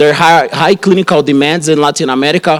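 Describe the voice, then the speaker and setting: This man talks with a Brazilian Portuguese accent. His pitch is fairly high, and his intonation is fairly even. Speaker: radiation oncologist. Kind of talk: conference talk. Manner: halting, many fillers and restarts.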